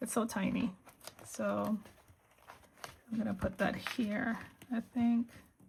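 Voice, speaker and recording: A woman with an American accent speaks at a very slow pace in a fairly high pitch, with monotone, flat intonation. She leaves long, frequent pauses, and there is noticeable background noise. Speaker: planner video creator. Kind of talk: casual chat while crafting. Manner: halting, many fillers.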